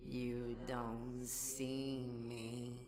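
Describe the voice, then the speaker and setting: A put-on character voice in a low-to-middle pitch comes through over clear background noise. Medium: read story. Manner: broken, simple phrasing.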